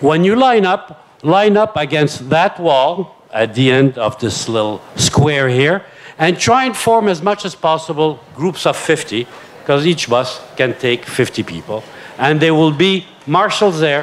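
Using a plain, everyday voice, a man speaks at a fairly slow pace with lively intonation and a fairly high pitch. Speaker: event moderator. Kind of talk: event moderation. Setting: stage with audience. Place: tent. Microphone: handheld.

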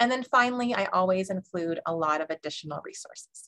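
A woman's bright, sharp voice at a moderate pace with ordinary pitch variation against a quiet background. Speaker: webinar presenter. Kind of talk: lecture. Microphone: webcam.

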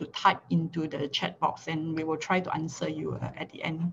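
A somewhat breathy woman talks at a fairly quick pace over light background noise. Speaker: pharmacy lecturer. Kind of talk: lecture. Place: home room. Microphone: video call.

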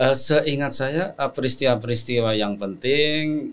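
Very slowly, a man speaks with fairly even intonation. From Central Java, Batang Pekalongan; Central Java, Indonesia. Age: 60s. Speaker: Islamic scholar and lecturer; lecturer. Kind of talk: interview conversation. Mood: calm, reflective. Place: studio. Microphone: studio mic.

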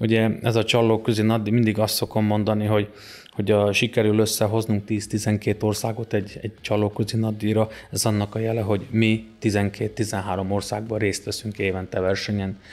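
With faint music in the background, a man of fairly low pitch speaks at a moderate pace in a monotone, flat intonation. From southern Slovakia. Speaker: wrestling club president and coach; coach. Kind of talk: interview. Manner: halting, with many repeated words. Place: home room. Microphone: studio mic.

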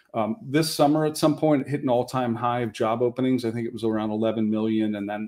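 With a dark, mellow tone, a man talks at a fairly quick pace over a quiet background, his pitch varying in an ordinary way. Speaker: speaker. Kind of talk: panel presentation. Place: home room. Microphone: webcam.

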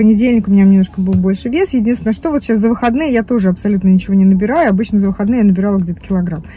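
With an animated tone, a woman speaks at a fairly high pitch with ordinary pitch variation in a dry sound with no echo. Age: 50s. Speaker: vlogger. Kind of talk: casual chat. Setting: in a car. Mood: chatty, candid. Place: car. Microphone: phone near.

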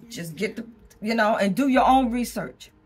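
A woman at a moderate pace, faint music in the background. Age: 70s. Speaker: vlogger. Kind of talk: casual talk to camera. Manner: conversational, rambling. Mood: opinionated, frank, humorous. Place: home room. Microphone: phone near.

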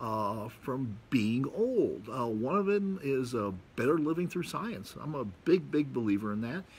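Somewhat breathy delivery at a fairly slow pace, with very wide pitch swings and hardly any pauses. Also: man, medium pitch for a man. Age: 60s. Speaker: video blogger. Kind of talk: monologue to camera, casual talk. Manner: casual, rambling, with fillers. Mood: relaxed, reflective. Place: garden. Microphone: phone near.

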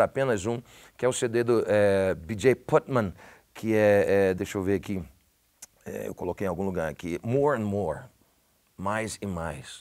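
Against a quiet background, a man with an English accent speaks at a moderate pace with lively intonation. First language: English (speaking Portuguese). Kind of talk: casual chat. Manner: halting. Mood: warm, animated, heartfelt. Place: studio.

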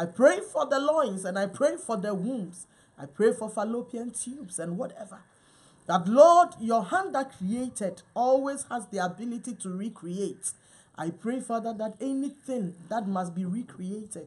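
Somewhat breathy, a woman speaks at a fairly slow pace with lively intonation and big swings in loudness. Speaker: minister. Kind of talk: prayer. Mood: fervent, earnest. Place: home room. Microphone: camera far.

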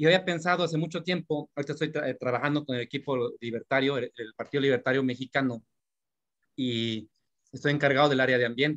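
A man's fairly high voice at a very fast pace, with fairly even intonation and a quiet background. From Mexico. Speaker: workshop participant. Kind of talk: audience question. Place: home room. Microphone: video call.

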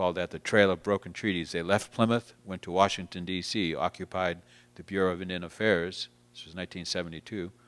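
Very deep and low, this man's voice has an American accent and monotone, flat intonation, moving at a moderate pace with big swings in loudness. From Massachusetts. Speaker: guest. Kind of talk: interview. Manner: halting, many repeated words. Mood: calm, reflective. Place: hall.

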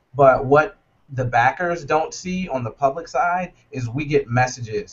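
A somewhat breathy man with an American accent and ordinary pitch variation. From US South, North Carolina. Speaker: startup co-founder. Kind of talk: interview. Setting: video call. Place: office. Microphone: video call.

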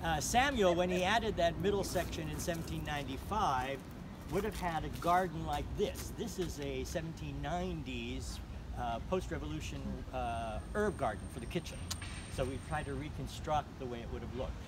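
A man talks at moderate speed while background noise is clearly noticeable. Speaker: tour guide. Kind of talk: guided tour explanation. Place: garden. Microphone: phone near.

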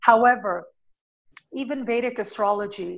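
A woman with a Canadian accent at a moderate pace. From Canada, Toronto. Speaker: astrologer. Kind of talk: interview. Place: home room. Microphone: video call.

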